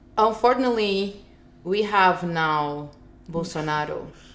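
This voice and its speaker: With audible room echo, a woman speaks in a Portuguese accent at a fairly low pitch. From Brazil, Rio de Janeiro. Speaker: filmmaker. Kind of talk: interview. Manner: animated.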